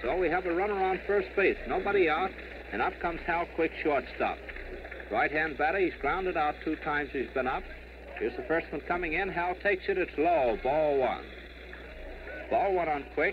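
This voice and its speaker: A man talks at a moderate speed while background noise is noticeable throughout. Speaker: baseball radio play-by-play announcer. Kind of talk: live sports play-by-play broadcast. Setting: vintage radio broadcast recording, 1939. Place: stadium. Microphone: old recording.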